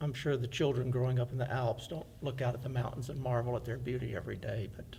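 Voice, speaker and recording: Speaking at a fairly quick pace in an American accent, a man with a medium pitch and a dark, mellow tone keeps a fairly even intonation with vocal fry. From US South, Fairhope, Alabama. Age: 60s. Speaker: oral history interviewee. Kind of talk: oral history testimony.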